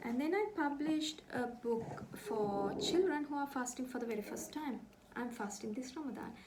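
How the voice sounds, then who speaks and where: A woman with a Sri Lankan accent speaks at a high pitch and moderate pace with lively intonation, with audible room echo. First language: Sinhala. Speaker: author. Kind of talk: book presentation.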